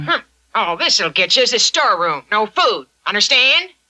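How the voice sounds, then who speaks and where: A woman in a cartoonish character voice speaks at a moderate pace and high pitch, with very wide pitch swings and very even loudness. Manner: grasping, sly.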